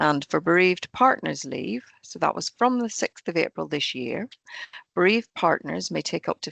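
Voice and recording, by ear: A woman's fairly low, croaky voice with vocal fry and a fairly bright tone sounds dry and close, with no echo.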